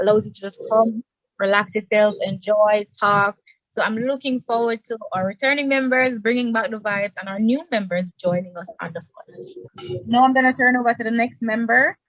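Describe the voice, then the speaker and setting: A woman with a normal speaking voice, fairly high in pitch, at a moderate pace with ordinary pitch variation and big swings in loudness. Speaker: student club executive. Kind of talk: casual self-introduction.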